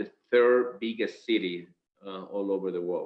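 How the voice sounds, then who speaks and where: Speaking fairly slowly, a man talks with a Spanish accent. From Venezuela. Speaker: company director. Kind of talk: business presentation. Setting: video call. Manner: halting.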